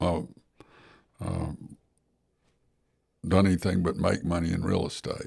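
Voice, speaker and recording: A man in an Alabama accent speaks with a very deep, low pitch, vocal fry, fairly even intonation and long, frequent pauses. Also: fairly slow pace. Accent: Southern US (Alabama). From US South (Gadsden, Alabama). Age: 70s. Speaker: personal injury lawyer and real estate investor. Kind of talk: podcast interview.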